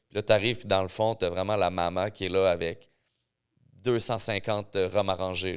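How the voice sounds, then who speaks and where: In a Quebec accent, a man with a very deep, low pitch speaks at a moderate pace in an animated tone, on a very clean recording with a silent background. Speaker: mixologist and rum expert. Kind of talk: casual chat.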